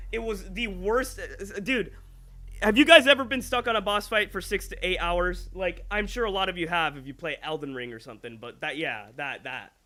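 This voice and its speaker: A man speaks at a moderate pace in a raised, projected voice with a high pitch, a bright, sharp tone, very wide pitch swings and big swings in loudness. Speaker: gaming streamer. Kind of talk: live stream chat. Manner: casual, chatty.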